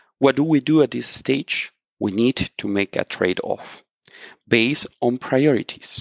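In a Spanish accent, a man is talking. He has a medium pitch. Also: ordinary pitch variation, fairly slow pace, dry, close sound with no echo. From Colombia. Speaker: software consultant. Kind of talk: interview.

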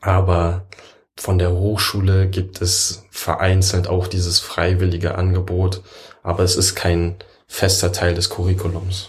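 Speaking fairly slowly, a man with a very deep voice sounds somewhat breathy, keeping a flat, monotone intonation and very even loudness. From Berlin. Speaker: computer science work-study student. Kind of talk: casual interview chat.

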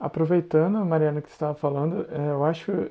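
With a plain, everyday voice, a man speaks at a moderate pace and a fairly high pitch. His intonation stays fairly even. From Santa Catarina, Brazil. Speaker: podcast host. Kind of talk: casual interview.

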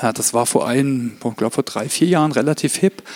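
The man has an unremarkable speaking voice, with ordinary pitch variation and a moderate pace. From Germany, Heilbronn area (Württemberg). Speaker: corporate learning specialist and speaker. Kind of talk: conference talk.

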